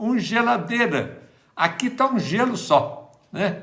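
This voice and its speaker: A raised, projected voice with audible room echo. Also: man. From Minas Gerais, Brazil. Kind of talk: livestream chat and prayer. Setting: livestream at home. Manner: casual, chatty.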